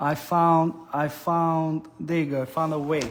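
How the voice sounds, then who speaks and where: An animated man speaks with an Italian accent. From Italy. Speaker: cooking show host. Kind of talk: live stream cooking and reading chat comments. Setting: live stream.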